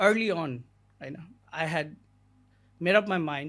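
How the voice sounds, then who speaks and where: A man with a Nepali accent talks at a moderate pace in a high voice with ordinary pitch variation, recorded very cleanly against a silent background. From Nepal, Gulmi district. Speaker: immigration lawyer. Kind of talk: podcast interview. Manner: code-switching Nepali and English, frequent fillers.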